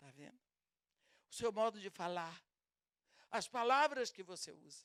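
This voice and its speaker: A woman at a fairly slow pace, with very wide pitch swings and big swings in loudness. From Brazil. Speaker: preacher. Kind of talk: sermon.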